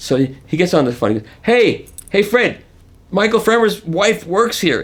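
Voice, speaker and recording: A man talks with vocal fry, his pitch swinging very widely. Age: 70s. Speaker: audio reviewer. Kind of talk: interview. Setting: audio expo.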